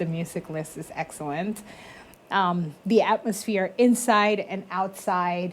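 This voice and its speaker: A woman speaks at a very slow pace with big swings in loudness. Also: medium pitch for a woman, ordinary pitch variation. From Colombia. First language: Spanish. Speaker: business consultant. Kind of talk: interview.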